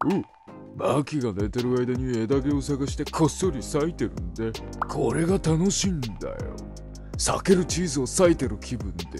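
Over clear music in the background, a man uses a put-on character voice at medium pitch and a moderate pace. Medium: dub. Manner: casual, laid-back.

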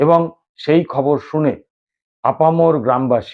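With ordinary pitch variation, a man talks in a normal speaking voice. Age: 50s. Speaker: YouTube political commentator. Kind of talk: political news commentary monologue.

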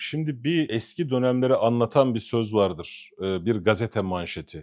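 The man's voice has a dark, mellow tone. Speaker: political commentator. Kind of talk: heated political rant. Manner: indignant, emphatic.

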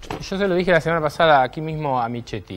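Speaking at a fairly quick pace, a man lets his pitch swing very widely. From Argentina. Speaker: TV political talk show host. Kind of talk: opinion monologue; interview. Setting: studio. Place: studio. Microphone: lapel.

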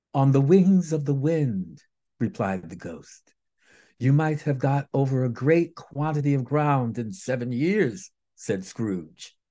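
Here a man speaks at a very slow pace in a dark, mellow tone. His intonation is lively. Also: quiet background. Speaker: storyteller. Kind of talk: dramatic reading of a story. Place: home room. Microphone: phone near.

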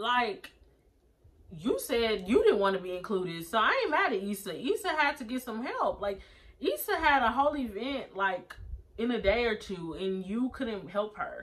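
At a moderate pace, the speaker's voice makes very wide pitch swings. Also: woman, fairly high pitch for a woman. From United States. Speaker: YouTuber reviewing TV episodes. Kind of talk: casual vlog review. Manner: animated; laughs often. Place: home room. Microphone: phone near.

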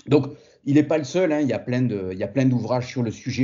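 A man speaks in an ordinary speaking voice at a medium pitch. His pitch varies in an ordinary way. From southern France, Montpellier. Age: 40s. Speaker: fitness entrepreneur and former karate champion. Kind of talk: casual interview.

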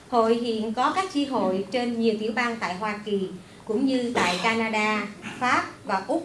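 She talks at a fairly slow pace, with noticeable noise in the background. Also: ordinary pitch variation. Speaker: event organizer, women's association chapter head. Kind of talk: formal event welcome speech. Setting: stage with audience at a library event. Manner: formal. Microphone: podium.

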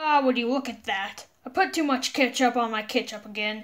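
A female-sounding put-on character voice, pitched high for a woman, runs at a moderate pace. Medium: dub. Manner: casual, relaxed.

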